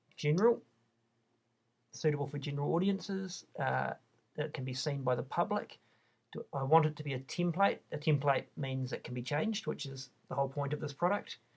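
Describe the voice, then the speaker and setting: With a New Zealand accent, a man speaks at a fairly quick pace, somewhat breathy. His pitch is fairly high, with ordinary variation. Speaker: online shop designer. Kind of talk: tutorial. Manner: casual, with fillers and restarts.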